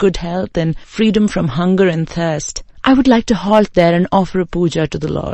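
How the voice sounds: Pitch moves in an ordinary way as the speaker reads in a natural voice.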